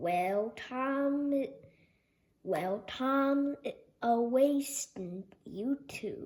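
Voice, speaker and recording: Using a put-on character voice, a woman speaks loudly at a high pitch and a very slow pace, with long, frequent pauses. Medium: read story. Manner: jolly, forceful.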